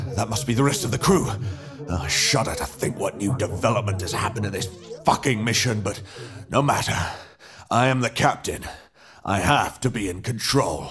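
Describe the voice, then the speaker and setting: A man with a medium pitch and lively intonation speaks with long, frequent pauses. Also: moderate pace. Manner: frightened, unraveling, muttering to himself.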